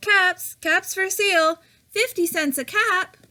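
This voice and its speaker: In a put-on character voice, a woman talks fairly slowly with a squeaky, extremely high pitch. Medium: read story.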